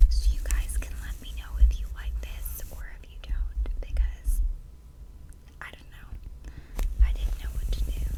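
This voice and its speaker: A woman whispers at a fairly slow pace, leaving long, frequent pauses. Noticeable background noise can be heard. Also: big swings in loudness. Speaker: ASMR creator. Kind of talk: casual talk to camera, ASMR makeup brush review. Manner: soft-spoken, whispered.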